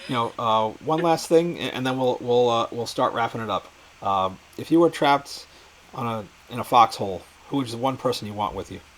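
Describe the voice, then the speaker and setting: A man at a medium pitch with ordinary pitch variation, talking at a fairly quick pace with big swings in loudness, over noticeable background noise. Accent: New York. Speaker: interviewer, show host. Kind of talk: casual interview chat. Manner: hesitant, repeats words.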